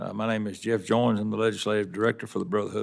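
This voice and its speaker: This man talks at a very fast pace with a Tennessee accent. His pitch is fairly low. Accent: Southern US (Tennessee), noticeable. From Tennessee, Wilson County. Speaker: union legislative director, railroad worker. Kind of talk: congressional testimony. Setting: Senate committee hearing. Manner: formal.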